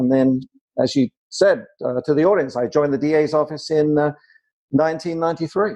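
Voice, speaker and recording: A man with an American accent talks in a fairly high pitch, his tone dark and mellow. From southern England. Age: 60s. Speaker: prosecutor. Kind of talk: interview.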